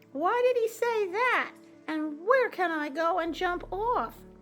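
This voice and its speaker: A female-sounding, squeaky put-on character voice at an extremely high pitch, speaking at a fairly slow pace. Clear music plays in the background. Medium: read story.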